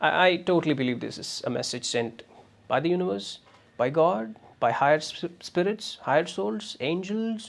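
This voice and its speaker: Here a man speaks with a Tamil Nadu accent. His pitch swings very widely. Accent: Tamil Indian English. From Tamil Nadu, India. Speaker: podcaster. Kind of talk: motivational monologue. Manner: hesitant, many fillers.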